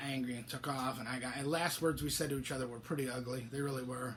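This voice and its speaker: This man talks fairly quickly, his voice somewhat breathy. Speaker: author and biker club member hosting a weekly show. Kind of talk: casual solo monologue. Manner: halting, stammering.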